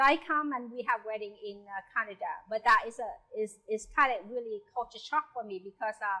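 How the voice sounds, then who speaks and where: The voice has a bright, sharp tone and lively intonation at a moderate pace. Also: woman. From South Vietnam. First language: Vietnamese. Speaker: home cook sharing migration story. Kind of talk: personal storytelling. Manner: halting.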